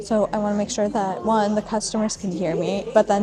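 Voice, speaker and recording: Noticeable background noise runs through this clip. The woman's voice sits at a medium pitch. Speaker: small business owner and vlogger. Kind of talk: casual vlog talk to camera. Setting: indoor market venue. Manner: chatty, many fillers; loud at times, voice goes up.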